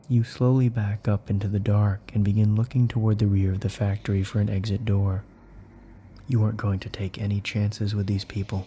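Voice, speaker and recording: A man speaks fairly quickly at a fairly low pitch in a dark, mellow, somewhat breathy tone. His intonation stays monotone and flat. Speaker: horror story narrator and author. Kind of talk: horror ASMR story narration, second person.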